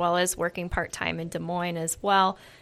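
A woman is speaking. Her pitch is medium. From Iowa, US Midwest. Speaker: physician assistant. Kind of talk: casual interview.

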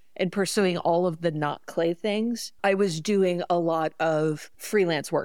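Her fairly low voice is an ordinary speaking voice, and the woman keeps her intonation fairly even. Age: 50s. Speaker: pottery studio owner. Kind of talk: casual chat.

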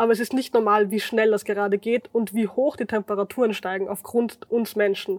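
Fairly quick, flat, monotone speech from a woman with a fairly high voice, hardly any pauses, and a dry, close sound with no echo. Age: 20s. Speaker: climate activist. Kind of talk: casual chat.

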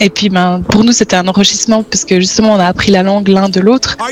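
Noticeable background noise sits under this recording. A woman talks at a fairly quick pace with monotone, flat intonation. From Switzerland (French-speaking). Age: 30s. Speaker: exchange programme alumna. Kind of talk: interview testimony.

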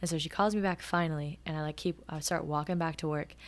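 A woman speaks at a fairly quick pace in a fairly low voice. The recording is very clean, with a silent background. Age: 20s. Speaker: podcast host and barista storyteller. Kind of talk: casual storytelling monologue. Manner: animated.

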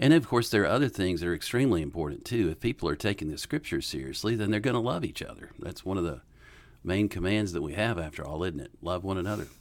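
In a Southern US accent, a man with a very deep, low voice talks at a very fast pace with lively intonation. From US South, western North Carolina. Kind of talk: casual Q&A interview.

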